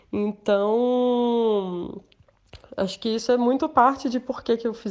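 A woman talks with a dark, mellow tone. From Brasília, Brazil. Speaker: textile artist. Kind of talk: interview.

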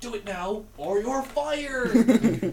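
A female-sounding voice does a put-on character voice at a fairly high pitch. Clear background noise can be heard. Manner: angry, shouting.

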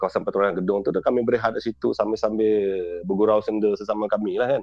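Rather brisk male speech against clearly audible background noise. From Sarawak, Malaysia. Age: 50s. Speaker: storyteller sharing own ghost experiences. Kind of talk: storytelling in casual chat. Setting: remote call into live stream.

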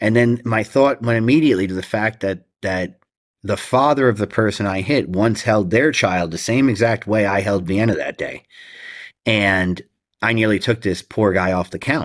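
A man with a normal speaking voice, fairly low in pitch, at a moderate pace with ordinary pitch variation, on a very clean recording with a silent background. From New Jersey, Ocean County. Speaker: former criminal defense attorney in recovery. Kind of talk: interview, personal testimony.

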